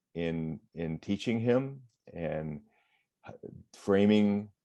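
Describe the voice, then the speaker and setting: A man's fairly low voice with an American accent, a dark, mellow tone and ordinary pitch variation. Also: long, frequent pauses. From Michigan. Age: 60s. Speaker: retired firefighter and water safety educator. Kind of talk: interview.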